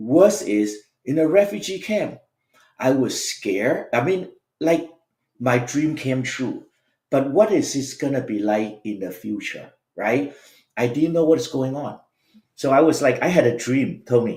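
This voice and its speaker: Pausing often and at length, a man speaks with lively intonation in a fairly high voice with a dark, mellow tone. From Vietnam. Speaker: education business CEO and author. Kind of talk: podcast interview, life story.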